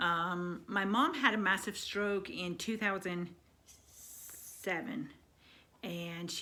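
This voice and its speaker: Bright and sharp in tone, this woman's voice sits at a medium pitch. Her pitch varies in an ordinary way. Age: 50s. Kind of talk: personal story told to camera. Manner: casual, conversational.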